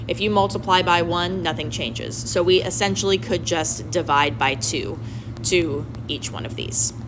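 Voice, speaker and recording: A woman with a very deep, low voice speaks at a moderate pace with very wide pitch swings, through audible room echo and noticeable background noise. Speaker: math teacher. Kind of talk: tutorial. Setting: recorded video lesson. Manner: casual.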